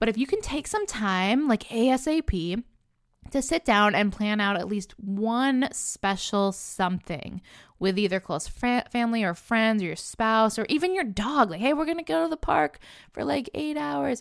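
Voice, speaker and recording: Very wide pitch swings run through a very clean recording with a silent background. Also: woman, fairly high pitch for a woman. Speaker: podcast host. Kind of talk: solo podcast advice talk. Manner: fast; casual, filler-heavy.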